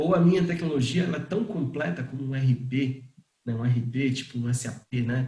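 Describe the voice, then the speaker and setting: A man with a normal speaking voice, medium pitch, ordinary pitch variation, and a moderate pace. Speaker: startup founder and CEO. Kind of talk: online talk on pricing.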